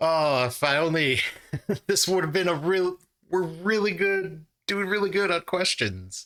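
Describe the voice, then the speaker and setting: Bright, sharp, high-pitched male voice, very even in loudness, with ordinary pitch variation and a fairly slow pace. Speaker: trivia channel host. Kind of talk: casual play-along commentary. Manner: animated.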